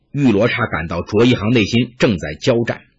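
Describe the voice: Just plain reading aloud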